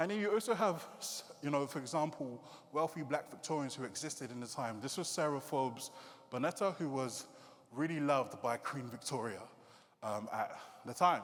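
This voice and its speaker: A man with a British accent speaks at a fairly high pitch. His intonation is lively and his pace moderate. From UK, Nigerian heritage. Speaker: creative coder and digital artist. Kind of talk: conference talk. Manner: casual, hesitant fillers.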